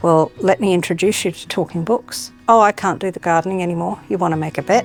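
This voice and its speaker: Over music in the background, a woman with an Australian accent talks at a very fast pace with a fairly low pitch. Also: ordinary pitch variation. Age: 60s. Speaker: aged care worker. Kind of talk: testimony.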